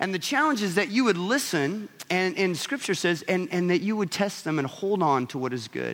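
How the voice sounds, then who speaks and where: A man with a high pitch speaks with very wide pitch swings and hardly any pauses. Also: moderate pace. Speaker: pastor. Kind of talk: sermon. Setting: church.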